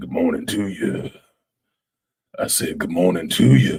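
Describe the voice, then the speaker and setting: A man puts on a gravelly character voice at a moderate pace, with big swings in loudness. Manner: slow, creeping.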